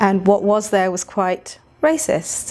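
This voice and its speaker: The speaker talks very slowly with fairly even intonation in a British accent. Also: woman. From England. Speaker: actor and writer. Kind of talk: interview.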